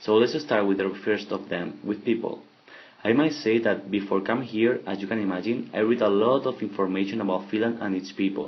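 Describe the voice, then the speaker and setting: Here a man with a Spanish accent talks at a fairly quick pace. His pitch is fairly low and his intonation fairly even. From Spain. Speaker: exchange student. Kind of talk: podcast monologue. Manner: halting.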